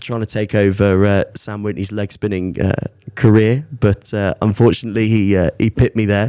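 Dry and close with no echo, the recording captures a man talking at a fairly quick pace in a fairly low pitch with a dark, mellow tone. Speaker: amateur cricketer. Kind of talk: casual chat.

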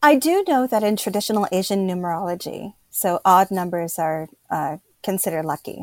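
A woman with an American accent has an unremarkable speaking voice at medium pitch and a moderate pace. The recording is very clean and dry, close with no echo, with a silent background. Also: ordinary pitch variation. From Pennsylvania, US. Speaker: writer and educator. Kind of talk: interview conversation.

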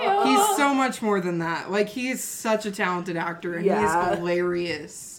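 With noticeable background noise around her, a woman talks at a moderate speed. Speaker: podcast co-host discussing video game movies. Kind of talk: casual, conversational.

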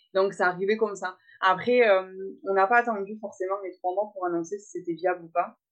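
A woman's unremarkable speaking voice at a medium pitch, fairly quick, with fairly even intonation and big swings in loudness. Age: 20s. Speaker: florist and mother. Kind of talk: interview testimony.

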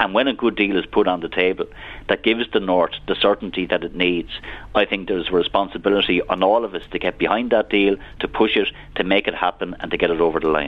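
In an Irish accent, a man with a very deep, low voice talks very fast with fairly even intonation. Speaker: politician. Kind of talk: radio interview.

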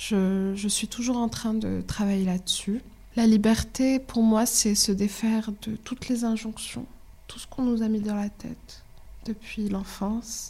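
A woman's dark, mellow tone at a fairly slow pace, with monotone, flat intonation and big swings in loudness. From Morocco. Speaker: documentary filmmaker. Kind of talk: casual interview.

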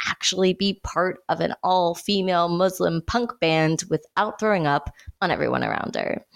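A woman with an ordinary speaking voice talks at a medium pitch and a moderate pace. The sound is dry and close with no echo. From United States. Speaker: podcast host and screenwriter. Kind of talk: casual chat.

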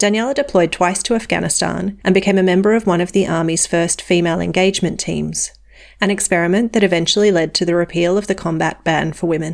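Talking at a very fast pace, a woman with an Australian accent has a fairly low pitch and vocal fry. Her intonation stays fairly even. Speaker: podcast host. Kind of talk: scripted narration; interview.

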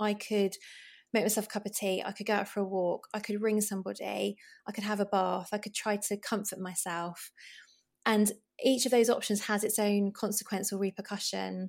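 The intonation is monotone and flat, in a British accent. The recording is very clean with a silent background. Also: woman, medium pitch for a woman, moderate pace. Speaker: GP and broadcaster. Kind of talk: casual interview.

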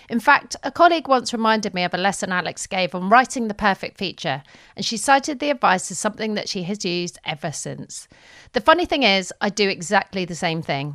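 A woman with a London accent and a medium pitch talks at a fairly quick pace, with very wide pitch swings and big swings in loudness, in a very clean, dry, close recording with a silent background and no echo. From London, England. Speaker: podcast co-host and interviewer. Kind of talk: casual chat.

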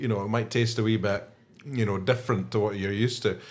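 A man's fairly low pitch in a Scottish accent, with monotone, flat intonation. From Scotland. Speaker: podcast co-host, whisky fan. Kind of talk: casual chat. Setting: pub back room.

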